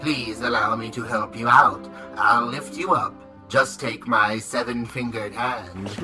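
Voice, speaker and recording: Over clear music in the background, a put-on character voice speaks at a low-to-middle pitch. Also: moderate pace. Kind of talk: comic overacting. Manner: formal, stilted, kind.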